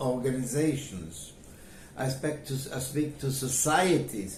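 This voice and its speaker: Against noticeable background noise, a man with a medium-pitched voice speaks at a fairly slow pace. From Poland. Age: 80s+. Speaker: Holocaust survivor. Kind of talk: interview answer.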